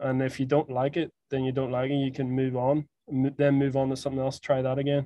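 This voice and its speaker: A man with a Northern Irish accent, medium-pitched, dark and mellow in tone, flat and monotone, at a fairly quick pace, with a dry, close sound and no echo. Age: 20s. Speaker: podcast host. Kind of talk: casual chat.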